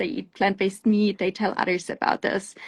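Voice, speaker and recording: With a German accent, a woman speaks at a medium pitch in a somewhat breathy voice against a quiet background. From Germany. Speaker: plant-based food company founder and CEO. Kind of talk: interview on a live show. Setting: live stream.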